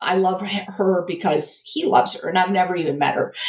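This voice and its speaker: The tone is animated as a woman speaks at a medium pitch. She keeps a moderate pace. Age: 40s. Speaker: engineering graduate student. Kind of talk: casual interview.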